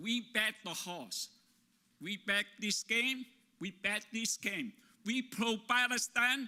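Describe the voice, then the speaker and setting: A man's raised, projected voice, high and with a bright, sharp tone, at a very slow pace with a non-native accent. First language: not English. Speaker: labor organizer. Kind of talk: conference talk.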